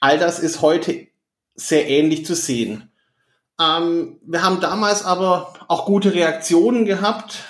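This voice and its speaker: Here a man talks in a Swabian accent at a very slow pace. His pitch is high, with ordinary variation. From southern Germany, Stuttgart (Swabia). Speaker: management consultant. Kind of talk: interview. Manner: hesitant fillers.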